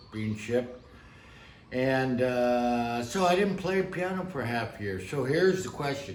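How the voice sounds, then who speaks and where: A man at medium pitch with an American accent, fairly slow and with ordinary pitch variation, amid noticeable background noise and audible room echo. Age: 60s. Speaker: piano teacher. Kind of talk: tutorial. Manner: casual.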